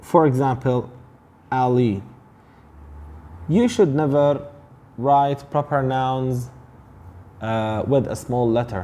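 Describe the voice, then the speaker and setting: A man speaks at a very slow pace with an Arabic accent. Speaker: English teacher. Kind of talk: tutorial.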